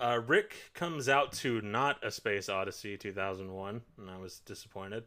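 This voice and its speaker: Speaking with an American accent, a man with a fairly low pitch and a bright, sharp tone talks with hardly any pauses and big swings in loudness. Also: ordinary pitch variation, moderate pace, very clean recording, silent background. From New York. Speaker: podcast host. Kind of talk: casual chat. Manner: animated.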